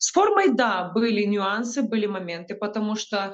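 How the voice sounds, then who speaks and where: A moderate pace against a quiet background. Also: woman. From Ukraine. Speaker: combat medic. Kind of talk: news report interview. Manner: halting, with filler sounds. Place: home room. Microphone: video call.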